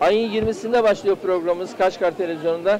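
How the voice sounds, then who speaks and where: Crowd noise sits behind a man speaking at a moderate pace with fairly even intonation, the sound dry with no echo. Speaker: TV show host; local TV show host. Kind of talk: street interviews with vendors. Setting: outdoor market. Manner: informal, friendly. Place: market.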